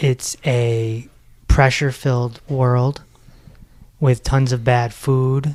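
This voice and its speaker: The intonation is monotone and flat, delivered at a very slow pace. Noticeable background noise runs underneath. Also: man. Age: 40s. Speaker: meditation podcast host, former radio personality. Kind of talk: podcast interview.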